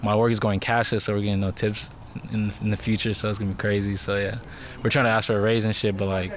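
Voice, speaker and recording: Very fast, monotone and flat delivery from a man at a fairly low pitch, with audible room echo. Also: very even loudness. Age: 20s. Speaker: bar worker. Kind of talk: casual chat.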